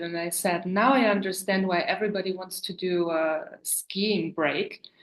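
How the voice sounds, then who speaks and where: Her fairly low voice carries a German accent as the woman speaks at a fairly slow pace. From Germany, Berlin. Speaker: sewing business owner. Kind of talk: casual chat.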